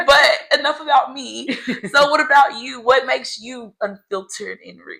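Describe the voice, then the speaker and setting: A woman uses a raised, projected voice pitched high. Her loudness swings widely. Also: ordinary pitch variation, moderate pace. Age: 30s. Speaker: podcast co-host. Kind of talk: casual chat.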